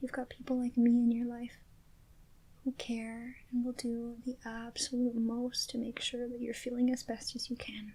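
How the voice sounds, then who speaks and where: A soft-spoken woman with a gentle, dark and mellow tone talks at a high pitch. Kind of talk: ASMR roleplay, comforting best friend. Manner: soft-spoken, gentle, caring.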